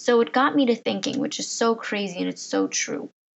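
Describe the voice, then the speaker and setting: A woman talks with vocal fry. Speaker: podcast host. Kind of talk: casual monologue. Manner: hesitant, with fillers.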